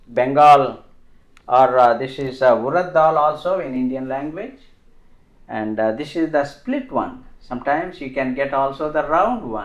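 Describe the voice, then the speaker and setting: Through audible room echo, a man with fairly high pitch and ordinary pitch variation talks at a fairly slow pace. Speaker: home cook. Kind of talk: tutorial. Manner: halting.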